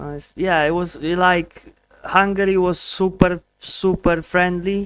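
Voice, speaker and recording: A man with a Polish accent speaks very slowly at a high pitch in a monotone, flat intonation. The sound is dry and close with no echo. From Poland. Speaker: streamer learning Spanish. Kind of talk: casual live stream chat. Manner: halting, with repetitions and fillers.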